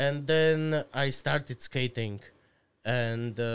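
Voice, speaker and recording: A man with an Eastern European accent. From Slovakia. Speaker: podcast guest. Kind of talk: casual, profane, non-native English. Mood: relaxed, joking. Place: studio. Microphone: studio mic.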